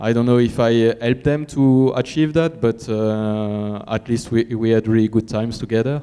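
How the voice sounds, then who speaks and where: With a French accent, a man speaks at a moderate pace in a fairly low pitch with fairly even intonation. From France. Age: 30s. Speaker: cross-country mountain bike racer. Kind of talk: press conference answer. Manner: halting.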